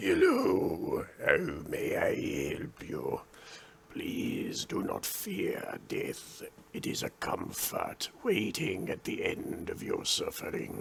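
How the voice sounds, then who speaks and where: Very slowly, a man delivers a raspy, put-on character voice. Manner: sibilant whisper.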